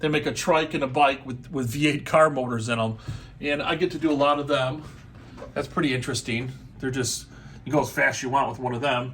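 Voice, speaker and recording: At a fairly quick pace, a normal speaking voice delivers the words with fairly even intonation. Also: man, fairly high pitch for a man. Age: 60s. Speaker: custom motorcycle seat maker. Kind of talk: casual show-and-tell explanation. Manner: casual, conversational with fillers.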